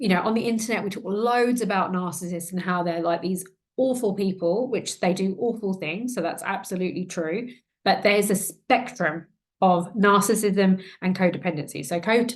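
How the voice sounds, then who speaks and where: A woman speaks in an unremarkable speaking voice at a medium pitch. Her pitch varies in an ordinary way, and her pace is moderate. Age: 40s. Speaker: trauma coach and podcaster. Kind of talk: personal testimony to camera. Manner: casual, conversational.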